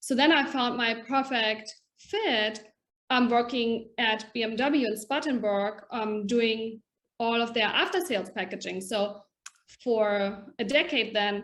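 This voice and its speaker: A woman with a German accent speaks at a fairly slow pace and a fairly high pitch, using ordinary pitch variation. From Germany. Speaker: packaging education director. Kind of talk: podcast interview.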